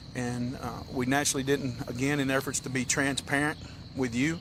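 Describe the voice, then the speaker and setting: Here a man talks with a Tennessee accent at a medium pitch. His pace is moderate and his intonation monotone and flat. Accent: US Southern (Tennessee). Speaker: county sheriff. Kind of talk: press briefing. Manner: halting.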